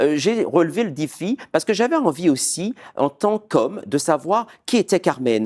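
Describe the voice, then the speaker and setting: A man speaks at a fairly slow pace. The sound is dry and close with no echo, in a very clean recording with a silent background. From Martinique. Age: 40s. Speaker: opera singer. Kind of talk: interview. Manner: hesitant.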